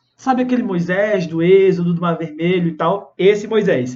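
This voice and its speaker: Audible room echo hangs on this man's voice. He keeps a moderate pace. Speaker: pastor. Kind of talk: sermon. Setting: Instagram live stream. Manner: animated.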